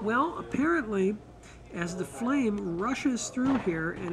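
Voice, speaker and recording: With noticeable background noise behind him, a man talks at a fairly slow pace using lively intonation. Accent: American. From San Diego, California; California. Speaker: author and museum curator. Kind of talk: interview at an energy expo. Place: hall. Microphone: camera far.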